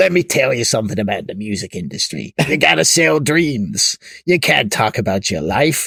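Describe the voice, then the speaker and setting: Using a put-on character voice, a man speaks at a moderate pace and medium pitch. His pitch swings very widely. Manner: gruff, world-weary voiceover.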